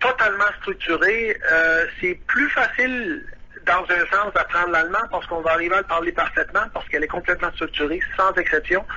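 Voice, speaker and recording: A man with a Quebec accent at a moderate pace, with noticeable background noise. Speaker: saxophonist, expat interviewee. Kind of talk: radio phone interview. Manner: halting, many hesitations.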